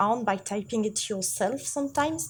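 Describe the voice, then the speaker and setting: On a very clean recording with a silent background, a woman with a French accent speaks in a somewhat breathy voice at a fairly high pitch and moderate pace, with ordinary pitch variation. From France. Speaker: seminar presenter, shader coder. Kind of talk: live technical lecture. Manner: halting, many fillers.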